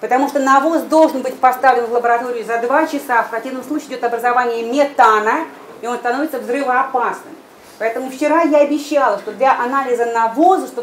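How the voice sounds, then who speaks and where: A woman talks at a fairly quick pace in a high pitch. There is noticeable background noise. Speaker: laboratory head. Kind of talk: presentation. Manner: fast.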